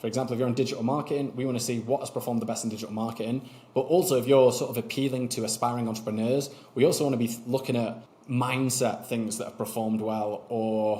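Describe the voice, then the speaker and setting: A man speaks at a medium pitch and a very fast pace, with fairly even intonation. His tone is dark, mellow and somewhat breathy. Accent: Mancunian. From Manchester, northern England. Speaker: YouTube strategy consultant. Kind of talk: interview conversation. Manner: casual.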